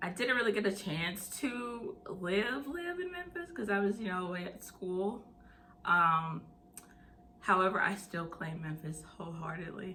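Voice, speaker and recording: The speaker has a Southern US accent and a fairly slow pace, with ordinary pitch variation. Room echo is audible. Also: woman, medium pitch for a woman. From US South (Tennessee and Mississippi). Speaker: mental health channel host. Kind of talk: casual vlog Q&A.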